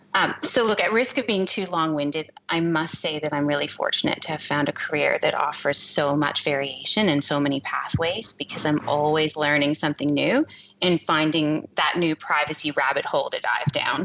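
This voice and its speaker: With hardly any pauses, the speech moves at a moderate pace with very even loudness and ordinary pitch variation over noticeable background noise. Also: woman, very deep, low pitch for a woman. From Canada. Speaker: privacy consultant. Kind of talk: interview.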